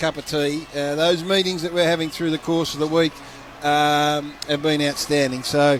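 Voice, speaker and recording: A man with a fairly high pitch speaks at a moderate pace in a monotone, flat intonation, with noticeable background noise. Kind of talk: comedic radio banter. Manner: mock-serious, sarcastic, deadpan.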